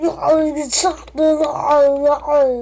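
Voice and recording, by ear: This put-on character voice sits high in pitch and stays monotone, with flat intonation.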